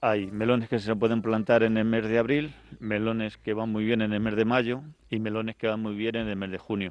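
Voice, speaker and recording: Monotone, flat intonation from a man, medium in pitch and moderate in pace. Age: 50s. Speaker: cooperative president. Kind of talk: interview during site tour. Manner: halting.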